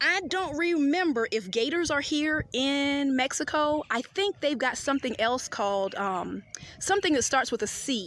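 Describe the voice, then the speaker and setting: A woman with a Southern US accent speaks in a high pitch, her tone animated and her intonation lively. She talks at a moderate pace with very even loudness. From US South. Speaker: travel vlogger. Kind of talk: casual vlog narration. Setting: outdoors.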